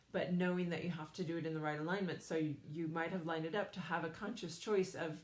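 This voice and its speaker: A woman's fairly low, monotone, flat voice at a fairly quick pace, with audible room echo. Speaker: psychic medium and energy healer. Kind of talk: live stream talk to viewers. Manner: fast.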